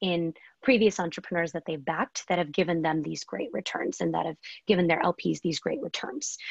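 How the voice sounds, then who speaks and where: A woman with an American accent and an unremarkable speaking voice talks at a fairly low pitch with ordinary pitch variation, the sound dry and close with no echo. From US (teenage years). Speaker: venture capitalist. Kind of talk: interview.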